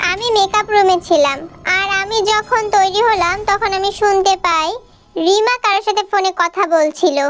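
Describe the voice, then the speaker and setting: A woman in a cartoonish character voice speaks at a moderate pace with an extremely high pitch. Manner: haughty, defensive.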